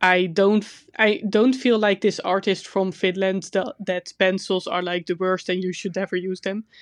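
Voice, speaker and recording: Against a quiet background, a woman speaks at medium pitch in monotone, flat intonation at a moderate pace, the sound dry and close with no echo. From Netherlands. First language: Dutch. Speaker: podcast co-host and artist. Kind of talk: casual chat.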